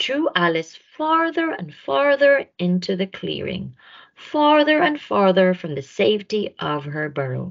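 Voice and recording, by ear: A woman talks at a fairly slow pace at a medium pitch, with vocal fry. Her pitch swings widely.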